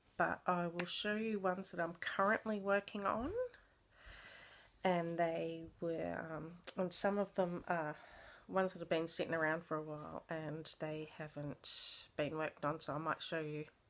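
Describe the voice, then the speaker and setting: With an Australian accent, a woman talks at a fairly slow pace in a fairly low pitch, her intonation fairly even. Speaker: craft vlogger. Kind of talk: casual show-and-tell vlog. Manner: hesitant, many fillers.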